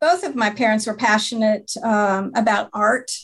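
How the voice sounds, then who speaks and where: A woman with an American accent talks at a fairly slow pace. Her voice is fairly high and somewhat breathy. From Montana. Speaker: marathon director. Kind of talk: interview.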